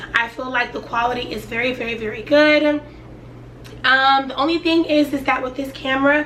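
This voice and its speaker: A woman speaks at a fairly quick pace with a high pitch and fairly even intonation. Noticeable background noise is audible. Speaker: YouTuber. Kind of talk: casual sit-down tutorial.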